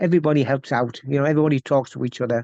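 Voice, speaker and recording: Talking at a very fast pace, a man with an Essex accent and fairly high pitch is heard in a dry, close sound with no echo. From Essex, England. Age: 60s. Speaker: welder. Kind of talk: casual interview chat.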